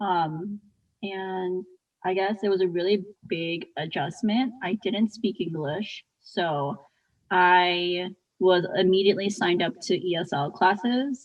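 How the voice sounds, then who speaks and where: A woman speaks at a very slow pace with a Midwestern US accent. Her pitch is medium, with ordinary variation. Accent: US Midwest. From Chicago suburbs, Illinois (moved from Japan as a young child). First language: Japanese. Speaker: podcast co-host. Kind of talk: casual chat.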